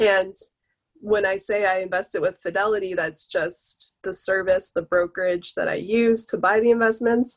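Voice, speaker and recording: A woman with an unremarkable speaking voice talks at a medium pitch and a moderate pace. Her intonation is fairly even, and the sound is dry and close with no echo. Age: 20s. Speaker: personal finance blogger. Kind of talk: interview podcast.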